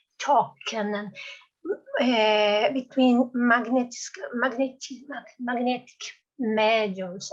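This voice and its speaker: Very slowly, a woman speaks at a high pitch with fairly even intonation. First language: non-English. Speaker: course participant. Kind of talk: question in discussion. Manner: halting.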